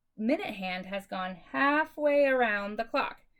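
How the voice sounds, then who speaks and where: Upbeat in tone, a woman speaks at a fairly slow pace. Her pitch swings very widely. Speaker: elementary school teacher. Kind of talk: remote lesson for young pupils. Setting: recorded video lesson. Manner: upbeat, encouraging.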